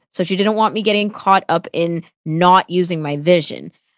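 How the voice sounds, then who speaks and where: With a Toronto accent, a woman speaks at a medium pitch in an animated tone with ordinary pitch variation, the sound dry and close with no echo. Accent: Canadian, Toronto. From Toronto, Canada (born in Sri Lanka). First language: Tamil. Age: 20s. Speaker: radio co-host. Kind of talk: interview, casual chat.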